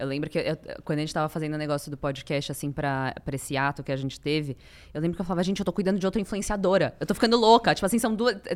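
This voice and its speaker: The intonation is lively. The pace is very fast. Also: woman, very deep, low pitch for a woman. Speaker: podcast host. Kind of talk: casual chat.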